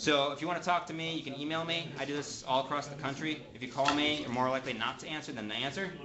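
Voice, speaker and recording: Amid noticeable background noise and audible room echo, a man with a fairly high pitch talks very fast with hardly any pauses and fairly even intonation. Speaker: manufacturer trainer. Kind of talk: technical training class. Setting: classroom with audience.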